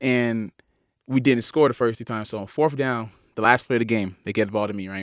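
On a very clean recording with a silent background, a man with an American accent and an ordinary speaking voice talks at a fairly quick pace in a medium pitch, with fairly even intonation and big swings in loudness. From US South, Miami, Florida. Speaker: college football player. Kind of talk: casual interview. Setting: studio.

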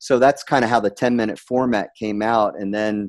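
A man at a moderate pace with an American accent. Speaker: serial entrepreneur. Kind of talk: interview. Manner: blunt, humorous speaker.

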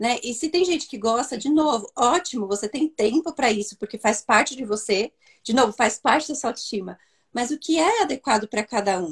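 A woman's high voice at a fairly quick pace, with very wide pitch swings and a dry, close sound with no echo. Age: young. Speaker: therapist. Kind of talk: live online chat.

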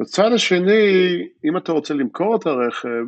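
With an American accent, a man speaks at a moderate pace using lively intonation. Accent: American English accent in Hebrew. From Philadelphia, US, moved to Jerusalem at age eight. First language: English (speaking Hebrew). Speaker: venture capital investor and tech entrepreneur. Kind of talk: interview. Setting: remote interview from home. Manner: hesitant, with fillers.

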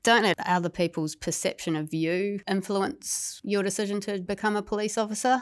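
In a New Zealand accent, a woman talks at a fairly quick pace with fairly even intonation on a very clean recording with a silent background. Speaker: police officer, former dolphin trainer. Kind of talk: interview.

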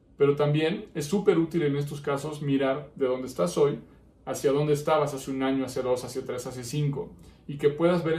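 Speaking at a fairly quick pace, a man with a fairly high pitch keeps his intonation fairly even against audible room echo. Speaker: psychologist and podcast host. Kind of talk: solo podcast monologue. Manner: frequent filler hesitations.

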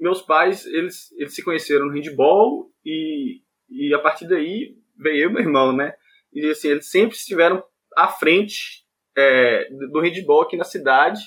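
A man with an unremarkable speaking voice talks at a fairly slow pace, with a fairly high pitch and ordinary pitch variation. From Montes Claros, northern Minas Gerais, Brazil. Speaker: handball player and physical education student. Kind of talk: casual interview.

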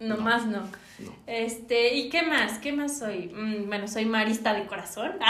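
Speaking fairly slowly, a woman has a fairly high pitch. Room echo is audible along with noticeable background noise. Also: ordinary pitch variation. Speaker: podcast co-host. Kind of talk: casual chat.

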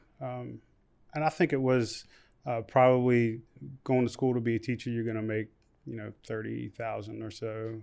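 At a moderate pace broken by long, frequent pauses, a man with an American accent and medium pitch keeps fairly even intonation, with big swings in loudness over a quiet background. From West Virginia. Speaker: nonprofit founder, former strip club manager. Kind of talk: testimony.

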